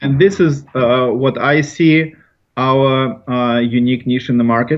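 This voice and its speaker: A man speaks at a fairly slow pace with medium pitch and ordinary pitch variation. His is an unremarkable speaking voice. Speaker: company founder and president. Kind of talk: interview answers, conversational. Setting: recording inside a portable vocal booth, remote laptop interview.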